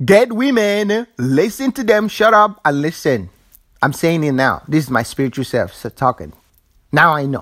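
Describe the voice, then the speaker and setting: Animated in tone, a man with a fairly high voice makes very wide pitch swings. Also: moderate pace. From Africa. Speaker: spiritual vlogger. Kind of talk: casual monologue.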